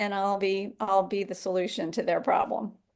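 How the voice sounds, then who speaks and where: Speech comes at a moderate pace. Nothing can be heard behind it. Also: woman. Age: 60s. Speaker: yoga teacher and health coach. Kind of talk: interview conversation. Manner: halting, with many fillers and repetitions.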